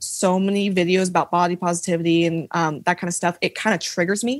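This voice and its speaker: Over a silent background in a very clean recording, a woman with a slight Southern US accent talks fairly quickly at a medium pitch. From Tennessee, US South. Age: 20s. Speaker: TikTok creator, college student. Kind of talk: casual chat.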